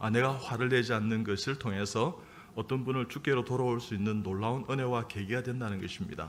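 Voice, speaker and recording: A medium-pitched man at a moderate pace, with audible room echo. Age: 60s. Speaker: surgeon and church elder. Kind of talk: sermon. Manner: halting, many fillers.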